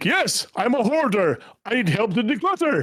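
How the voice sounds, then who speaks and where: Putting on a character voice, a man speaks at a moderate pace in an extremely high pitch with very wide pitch swings. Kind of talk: radio announcer style. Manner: loud, declamatory.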